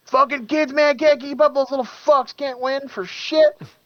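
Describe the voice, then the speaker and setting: Drawling in a put-on character voice, the speaker uses a high pitch and a Southern US accent at a moderate pace. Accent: Southern American. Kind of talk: crude, casual. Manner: slow, drawling.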